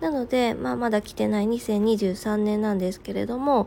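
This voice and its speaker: With music playing in the background, a woman of medium pitch speaks at a moderate pace using lively intonation. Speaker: podcast host, working mother. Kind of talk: casual morning radio monologue.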